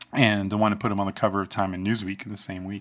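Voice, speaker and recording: At a very fast pace, a man speaks with a bright, sharp tone and a fairly low pitch. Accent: American. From New Jersey. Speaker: herbalist and acupuncturist. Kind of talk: casual interview. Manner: halting, many fillers.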